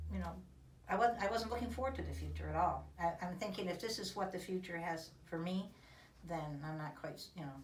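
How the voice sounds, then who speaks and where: Speech comes at a fairly quick pace, with audible room echo and noticeable background noise. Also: woman. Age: 60s. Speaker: patient giving testimonial. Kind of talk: testimony. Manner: halting, many fillers.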